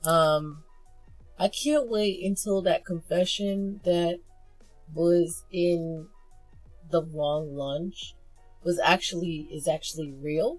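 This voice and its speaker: A woman's very slow pace with music in the background. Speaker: webcomic reviewer. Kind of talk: casual talk to camera. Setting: muffled audio.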